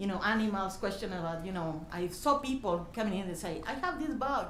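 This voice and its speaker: Against noticeable background noise and audible room echo, a woman with a strong Mexican accent talks at a moderate pace and medium pitch. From Mexico, desert region. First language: Spanish. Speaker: youth program volunteer leader. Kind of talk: public hearing comment. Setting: county meeting room. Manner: halting.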